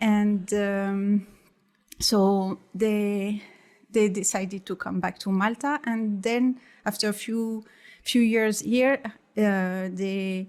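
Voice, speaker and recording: Heard in a very clean recording with a silent background, a woman with a French accent speaks at a very slow pace with fairly even intonation. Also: medium pitch for a woman. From France. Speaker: artist. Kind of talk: casual chat. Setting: studio. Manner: halting.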